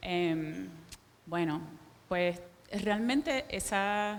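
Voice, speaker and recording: A woman with a Caribbean Spanish accent is heard amid audible room echo. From Puerto Rico. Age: 40s. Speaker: visual artist. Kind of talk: public talk. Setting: stage with audience. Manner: slowed down on request.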